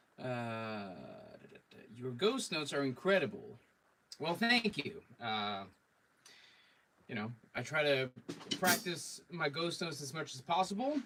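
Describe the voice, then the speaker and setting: The voice has a bright, sharp tone with vocal fry and very wide pitch swings. It moves at a fairly slow pace with long, frequent pauses. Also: man, fairly high pitch for a man. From Sweden. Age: 30s. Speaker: drummer and drum teacher. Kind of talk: live stream chat and drum tips. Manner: casual, many fillers.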